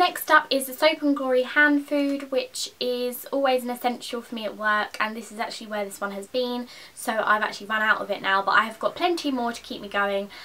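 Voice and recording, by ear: A bright, sharp tone at a fairly quick pace with fairly even intonation. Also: woman, fairly high pitch for a woman.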